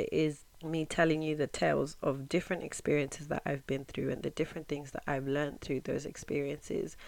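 Talking at a fairly quick pace, a woman uses a very deep, low pitch and a monotone, flat intonation. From Zimbabwe, raised in England from age nine. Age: 20s. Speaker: podcast host. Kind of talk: podcast intro monologue.

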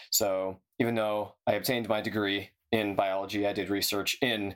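Using a normal speaking voice, a man talks at a moderate pace with a fairly low pitch and a General American accent. The recording is very clean, with a silent background. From San Diego, California. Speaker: biologist and climate activist. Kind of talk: casual chat.

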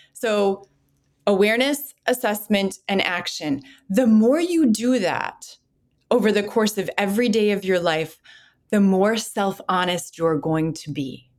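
A woman with an American accent has an unremarkable speaking voice at medium pitch. She speaks at a fairly slow pace with lively intonation. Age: 40s. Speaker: clinical psychologist. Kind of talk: interview.

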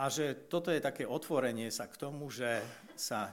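A man with an unremarkable speaking voice, a fairly slow pace and ordinary pitch variation. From Slovakia. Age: 50s. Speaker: theologian. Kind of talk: lecture.

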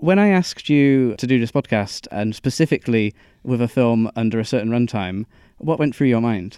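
In a Bristol accent, a man talks at a moderate pace with a medium pitch, ordinary pitch variation and a dark, mellow tone, with a dry, close sound with no echo and a quiet background. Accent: Bristolian, noticeable R's. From Bristol, West Country England. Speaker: podcast host. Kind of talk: casual chat. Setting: recorded in a cinema.

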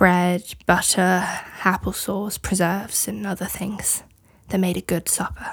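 Over a very clean recording with a silent background, a woman of medium pitch speaks at a fairly slow pace in a monotone, flat way, with vocal fry. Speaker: guest reader. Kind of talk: dramatic reading of trial testimony.

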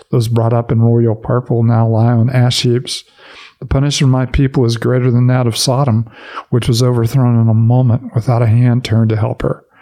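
Over noticeable background noise, a man speaks at a fairly quick pace in a monotone with flat intonation. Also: medium pitch for a man. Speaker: Bible podcast host. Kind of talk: devotional commentary, with Scripture reading aloud. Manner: measured, steady audiobook-style reading; conversational, filler-heavy.

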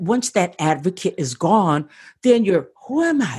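A woman with a medium pitch sounds somewhat breathy. Her pitch swings very widely at a fairly slow pace. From US Midwest. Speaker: podcaster and podcast coach. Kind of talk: interview.

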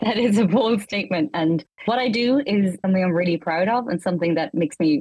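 Talking at a fairly quick pace, a woman with a slight Irish accent uses lively intonation. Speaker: leader of an educational 3D product team. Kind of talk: interview.

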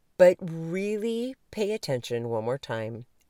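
A woman's very slow voice with very wide pitch swings, a dark, mellow tone, and a dry, close sound free of echo on a very clean recording against a silent background. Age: 50s. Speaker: podcast host and life coach. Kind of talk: solo motivational talk. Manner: casual, conversational.

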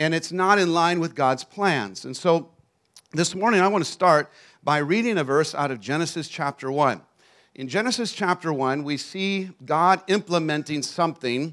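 In a very clean recording with a silent background, a man speaks with an American accent in a normal speaking voice. His pitch is fairly high, his pitch variation ordinary and his pace moderate. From Texas. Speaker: traveling preacher. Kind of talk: sermon. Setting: church.

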